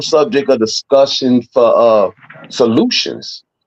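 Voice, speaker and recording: A man is speaking. His pitch is fairly high. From Chicago. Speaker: podcast host. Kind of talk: casual chat. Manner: animated.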